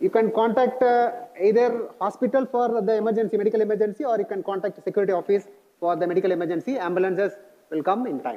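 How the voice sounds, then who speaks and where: A man with an Indian accent speaks at a very fast pace in a high voice with ordinary pitch variation. Background noise is noticeable. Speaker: college staff member briefing new students on security. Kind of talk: orientation presentation.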